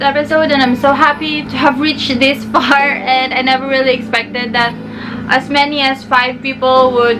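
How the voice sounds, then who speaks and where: A woman with a Filipino accent speaks in a raised, projected voice at a high pitch and a moderate pace. Her pitch variation is ordinary, and there is noticeable background noise. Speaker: YouTuber, book reviewer. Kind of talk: casual review talk to camera. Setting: bedroom.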